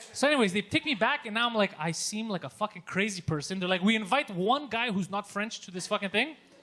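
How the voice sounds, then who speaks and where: A man speaks very fast in a high, raised and projected voice. His intonation is lively. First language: not English (English is third language). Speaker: comedian. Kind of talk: casual chat. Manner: animated.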